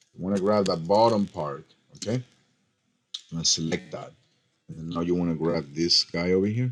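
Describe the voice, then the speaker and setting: A man with a very deep, low pitch speaks at a moderate pace in an animated tone, with ordinary pitch variation. His loudness swings widely, and he leaves long, frequent pauses. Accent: non-native. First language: not English. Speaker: design software tutorial maker. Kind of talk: screen-recorded tutorial. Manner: casual, animated; halting, with fillers.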